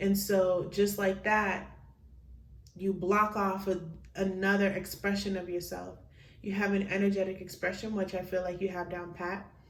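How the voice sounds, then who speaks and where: A woman's somewhat breathy, medium-pitched voice at a moderate pace with monotone, flat intonation and audible room echo. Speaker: tarot card reader. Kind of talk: pick-a-card tarot reading.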